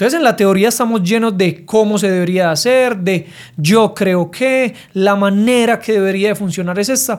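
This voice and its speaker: On a very clean recording with a silent background, a man's speech shows ordinary pitch variation. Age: 30s. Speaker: business podcast host and entrepreneur. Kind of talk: solo podcast monologue. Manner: casual, direct.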